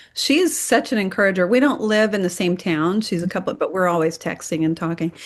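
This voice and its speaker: In a plain, everyday voice, a woman with a medium pitch talks at a fairly quick pace with lively intonation. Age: 60s. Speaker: interview guest sharing diet story. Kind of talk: casual interview.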